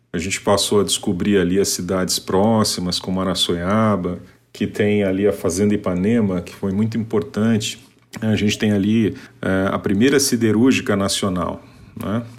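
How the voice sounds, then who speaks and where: Speaking at a moderate pace, a man with an unremarkable speaking voice keeps a fairly low pitch and fairly even intonation. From Paraná, Brazil. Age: 40s. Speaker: civil servant. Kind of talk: testimony.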